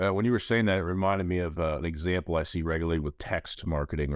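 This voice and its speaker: The pace is fairly quick, with ordinary pitch variation. The recording is very clean, over a silent background. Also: man. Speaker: podcast host. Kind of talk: casual interview chat; solo monologue intro.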